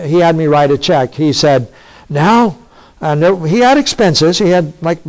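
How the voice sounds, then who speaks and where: A high-pitched man's voice with lively intonation. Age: 60s. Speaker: pastor. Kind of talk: sermon.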